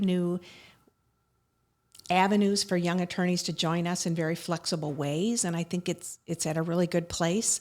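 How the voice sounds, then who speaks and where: A woman with an American accent has an unremarkable speaking voice. She is fairly low-pitched and keeps a moderate pace. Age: 60s. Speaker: attorney. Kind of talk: interview conversation.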